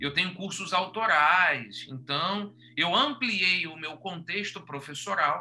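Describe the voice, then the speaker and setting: Here a man talks at a very slow pace. His voice is high-pitched, with lively intonation. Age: 40s. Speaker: podcast host and teacher. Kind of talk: casual chat. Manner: animated.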